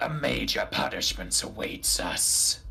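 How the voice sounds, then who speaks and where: A put-on character voice, booming, raspy and resonant, comes at a fairly slow pace. Light background noise sits behind it. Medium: actual play. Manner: lofty, formal and archaic.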